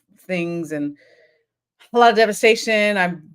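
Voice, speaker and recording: Pitched fairly low, a woman talks with an American accent. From Florida. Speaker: psychologist hosting a live show. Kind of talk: live stream monologue. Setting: live stream. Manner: fast.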